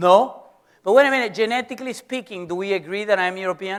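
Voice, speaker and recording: Speaking in a Venezuelan accent, a man sounds animated, his high pitch carried by lively intonation. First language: Spanish. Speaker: professor. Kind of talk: lecture.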